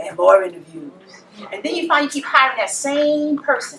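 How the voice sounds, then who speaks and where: A woman speaks at a high pitch. Her pitch swings very widely over noticeable background noise. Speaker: public speaker. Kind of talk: motivational talk.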